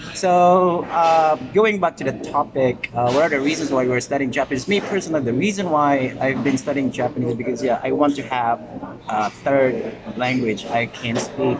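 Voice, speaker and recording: A man with a Visayan Filipino accent and a fairly high pitch, at a moderate pace with ordinary pitch variation, amid noticeable background noise. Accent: Filipino (Cebuano) English. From Philippines, Cebu. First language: Cebuano (Bisaya). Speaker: podcast host. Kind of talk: casual chat. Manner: halting.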